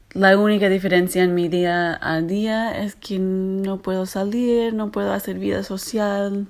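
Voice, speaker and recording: A strong American accent at a fairly slow pace, monotone and flat in intonation, with hardly any pauses. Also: woman, medium pitch for a woman. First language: English (speaking Spanish). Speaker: literary translator. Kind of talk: interview answer. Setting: WhatsApp voice messages. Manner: hesitant, with filler sounds.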